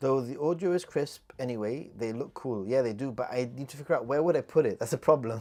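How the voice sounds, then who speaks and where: A man with a British accent talks at a fairly quick pace. His medium pitch shows ordinary variation. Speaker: YouTuber. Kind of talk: livestream chat Q&A. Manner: casual, halting with repetitions.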